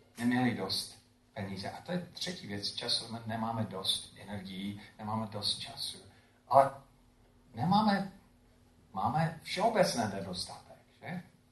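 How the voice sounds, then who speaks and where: A man at a medium pitch and fairly slow pace, with very wide pitch swings, big swings in loudness and long, frequent pauses, plus noticeable background noise and audible room echo. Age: old. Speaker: pastor. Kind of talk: sermon. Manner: halting.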